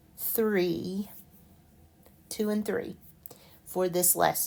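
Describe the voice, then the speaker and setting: A woman talks at a very slow pace and a fairly low pitch. The recording is very clean, with a silent background. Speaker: math teacher. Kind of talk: tutorial. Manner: clear, measured.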